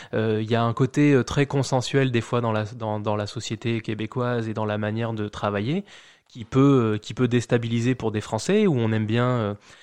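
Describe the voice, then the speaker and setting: The speaker is a man with a medium pitch and fairly even intonation. The background is quiet. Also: moderate pace. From France, Charente-Maritime (rural village near La Rochelle). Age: 30s. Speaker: immigrant, bank employee. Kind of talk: casual interview. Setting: at the host's home. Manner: hesitant, many fillers and repetitions.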